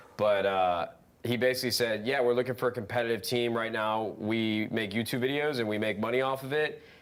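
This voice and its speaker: A man speaks at a fairly quick pace with a medium pitch and fairly even intonation, in a plain, everyday voice. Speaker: former competitive gamer and content creator. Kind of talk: casual chat.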